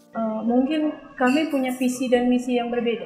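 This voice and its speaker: There is noticeable background noise behind a woman whose pitch is fairly high. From Lampung, Indonesia. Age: 30s. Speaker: storyteller sharing life experience. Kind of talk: personal testimony interview. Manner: halting, with fillers.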